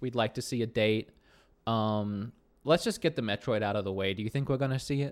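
At a fairly quick pace, a man uses a normal speaking voice with a medium pitch and ordinary pitch variation. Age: 30s. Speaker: gaming podcast co-host. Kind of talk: casual chat. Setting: remote call, on green screen.

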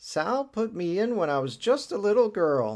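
A man puts on a character voice, high-pitched with very wide pitch swings. He moves at a moderate pace.

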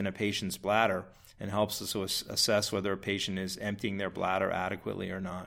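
This man has a fairly low voice and an American accent. He speaks at a fairly quick pace. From Massachusetts. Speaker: urologist. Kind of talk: interview, medical explanation.

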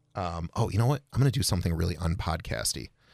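Very fast and full of lively intonation, this voice with an American accent and vocal fry comes through a very clean recording with a silent background. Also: man. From Rochester, New York. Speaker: filmmaker and small business owner. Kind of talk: casual chat.

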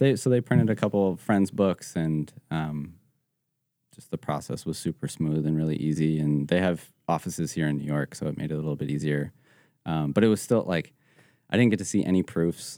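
A man with a very deep, low pitch talks at a fairly quick pace in an American accent. His tone is dark and mellow, and his pitch varies in an ordinary way. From Colorado, Evergreen near Denver. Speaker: photographer and designer. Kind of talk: casual interview chat. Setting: studio.

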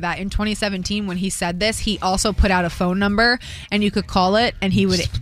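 A woman's fairly quick speech amid noticeable background noise. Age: 30s. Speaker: morning radio host. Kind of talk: casual morning show banter.

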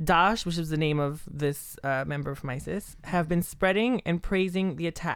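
In a plain, everyday voice, a woman speaks fairly low at a moderate pace with ordinary pitch variation, in a very clean recording with a silent background. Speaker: podcast host. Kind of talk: casual chat.

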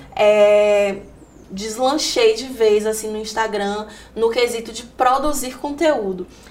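A woman speaks at a very slow pace with a fairly high pitch and ordinary pitch variation. Room echo can be heard. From Salvador, Bahia, Brazil. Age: 20s. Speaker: digital content creator and journalist. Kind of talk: interview testimony.

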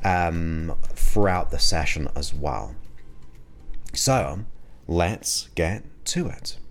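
A man's very deep, low voice with vocal fry and a soothing tone, very slow and broken by long, frequent pauses, yet with very wide pitch swings. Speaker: hypnotherapist podcast host. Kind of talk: guided meditation hypnosis induction. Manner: slow, soothing, hypnotic, with long pauses; soft-spoken, repetitive, gentle.

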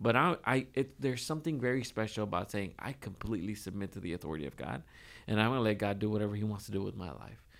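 A man with a fairly low pitch and vocal fry talks at a very fast pace with lively intonation. The recording is very clean, with a silent background. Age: 20s. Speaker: church minister and podcast co-host. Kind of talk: casual chat.

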